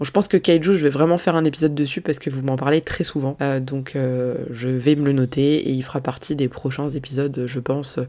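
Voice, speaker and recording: Against noticeable background noise, a woman with a very deep, low pitch talks at a fairly quick pace with hardly any pauses. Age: 30s. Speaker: manga podcaster. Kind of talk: casual solo podcast Q&A. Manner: animated.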